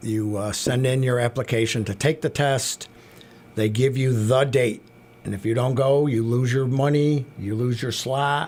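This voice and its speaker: This man has an ordinary speaking voice, pitched at a medium level. He keeps a moderate tempo and fairly even intonation. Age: 60s. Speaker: carousel maintenance mechanic. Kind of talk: radio interview.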